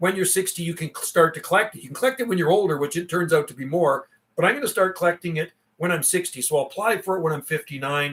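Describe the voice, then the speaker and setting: A very fast delivery with ordinary pitch variation. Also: man, high pitch for a man. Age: 50s. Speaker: CB radio operator and livestreamer. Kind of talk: casual chat. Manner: animated.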